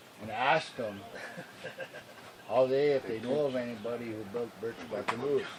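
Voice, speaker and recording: A man with a medium pitch is heard against noticeable background noise. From Wisconsin, Lake Superior reservation. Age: 70s. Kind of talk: interview.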